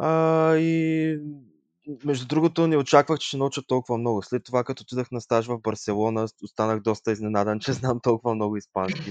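A man with a normal speaking voice and medium pitch talks with ordinary pitch variation. The sound is dry and close with no echo over a quiet background. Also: moderate pace. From Bulgaria, Yambol. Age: 20s. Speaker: tourism graduate. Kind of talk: interview.

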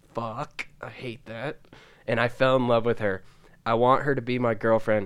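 Medium-pitched male voice at a moderate pace with monotone, flat intonation. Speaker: podcast co-host. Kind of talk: casual banter podcast chat. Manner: joking, laid-back.

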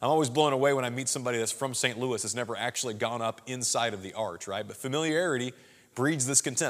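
Man with a Midwestern American accent, very fast pace, medium pitch and ordinary pitch variation. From Southwest Missouri. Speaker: pastor. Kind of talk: sermon. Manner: casual, conversational.

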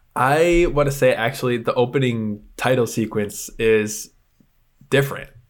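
Speaking at a fairly slow pace, a man uses an unremarkable speaking voice at medium pitch with ordinary pitch variation. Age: 20s. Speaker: movie podcast co-host. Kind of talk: casual chat.

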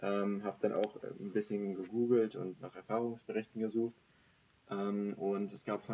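Over music in the background, a man speaks at a fairly low pitch with monotone, flat intonation. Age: 20s. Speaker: master's student. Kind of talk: interview. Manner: hesitant, many fillers.

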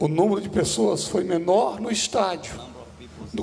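Noticeable background noise behind a man talking fairly slowly. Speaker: pastor. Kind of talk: preacher's pulpit exhortation. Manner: loud, emphatic, declaring.

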